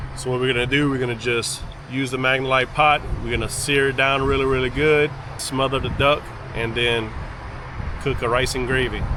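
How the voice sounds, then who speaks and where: In a Cajun accent, a man speaks at a fairly quick pace with a medium pitch, a relaxed tone, monotone, flat intonation and long, frequent pauses. Noticeable background noise and audible room echo fill the recording. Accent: Cajun Louisiana English. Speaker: cooking vlogger and hunter. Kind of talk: cooking tutorial. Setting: outdoors at a campground. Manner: casual, relaxed.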